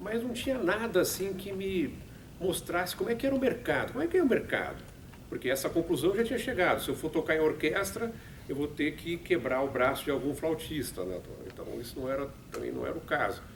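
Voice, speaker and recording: A high-pitched man with a São Paulo accent talks fairly quickly, his pitch swinging very widely. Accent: Paulistano Brazilian Portuguese. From Brazil, São Paulo. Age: 60s. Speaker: radio production manager and musician. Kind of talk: talk to students. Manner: halting.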